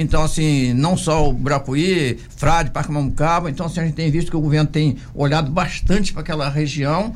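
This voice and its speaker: A man talks at a fairly quick pace with a fairly high pitch. He has a plain, everyday voice with fairly even intonation. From Brazil, Angra dos Reis coast (Rio de Janeiro state). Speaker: city councillor. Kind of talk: radio interview.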